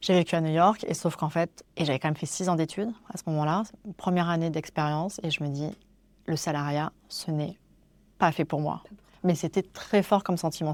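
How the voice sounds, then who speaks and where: On a very clean recording with a silent background, a woman uses a normal speaking voice, fairly low in pitch, with ordinary pitch variation. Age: 40s. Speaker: wedding photographer. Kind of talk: interview. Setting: in person, Paris.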